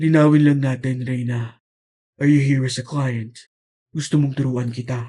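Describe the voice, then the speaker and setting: A man's put-on character voice, medium in pitch and flat, monotone, at a moderate pace. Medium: read story. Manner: calm, smooth, teasing.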